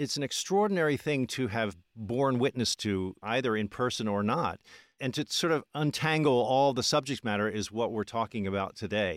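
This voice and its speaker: A man with an American accent, medium pitch, a normal speaking voice, lively intonation and a moderate pace, in a very clean recording with a silent background. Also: dry, close sound with no echo. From Philadelphia. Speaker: history podcast host. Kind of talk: interview; scripted narration.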